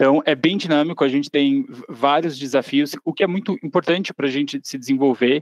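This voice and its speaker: A man's normal speaking voice, fairly high in pitch, at a fairly quick pace with fairly even intonation, dry and close with no echo. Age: 30s. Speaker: marketing intern. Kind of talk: interview conversation.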